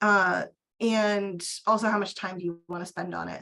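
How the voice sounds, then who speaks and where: This is a plain, everyday voice, and its intonation stays fairly even. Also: woman. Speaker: archivist. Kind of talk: webinar Q&A.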